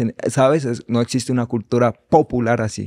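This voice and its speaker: Against a quiet background, a man speaks fairly slowly in a dark, mellow tone with monotone, flat intonation. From Mexico, Valle de Chalco (State of Mexico); State of Mexico. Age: 20s. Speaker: reggaeton singer and songwriter; podcast guest. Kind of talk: casual chat. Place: studio. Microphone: studio mic.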